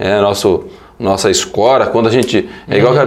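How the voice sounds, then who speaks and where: A man talks at a fairly quick pace and a medium pitch. Room echo is audible. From western Paraná, Brazil. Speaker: politician, deputy mayor. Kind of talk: radio interview.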